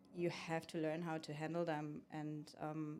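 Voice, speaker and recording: In a German accent, a woman speaks with a very deep, low pitch and monotone, flat intonation. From Germany. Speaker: food truck owner and carpentry student. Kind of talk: podcast interview.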